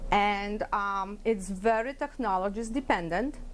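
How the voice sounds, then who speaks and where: A woman speaks with a Polish accent. Her pace is fairly slow. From Poland. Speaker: ultrasound technologist. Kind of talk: workplace interview talk. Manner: hesitant, with fillers.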